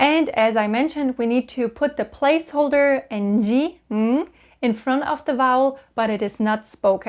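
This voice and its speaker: A woman with a German accent and a high pitch talks at a moderate pace with ordinary pitch variation. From Germany. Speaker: language-learning YouTuber. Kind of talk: tutorial.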